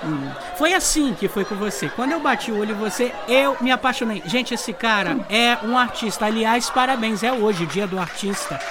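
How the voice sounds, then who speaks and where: Over noticeable background noise, a man with a high pitch uses a raised, projected voice at a moderate pace, with lively intonation and hardly any pauses. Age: 30s. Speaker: podcast host. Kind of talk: casual chat. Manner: animated.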